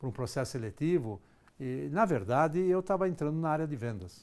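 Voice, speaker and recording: The man's voice is fairly high and swings very widely in pitch at a fairly quick pace. The recording is very clean with a silent background. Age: 60s. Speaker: executive trainer. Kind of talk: lecture.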